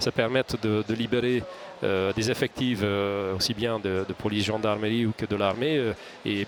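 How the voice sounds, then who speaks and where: Over noticeable background noise, a man with a Hungarian accent speaks at a moderate pace and medium pitch with fairly even intonation. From Hungary. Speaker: security company executive, ex-legionnaire. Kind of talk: interview. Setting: studio. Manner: halting, many repetitions.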